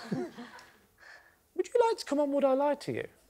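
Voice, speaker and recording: A man is talking, and noticeable noise can be heard in the background. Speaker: comedian panelist. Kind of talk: comic anecdote storytelling. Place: stage. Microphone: lapel.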